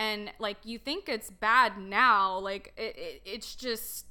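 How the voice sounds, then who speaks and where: On a very clean recording with a silent background, a woman speaks at a very slow pace. Her voice is fairly high and bright, sharp in tone, with ordinary pitch variation. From US, Dallas Texas area. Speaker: registered nurse. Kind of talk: testimony.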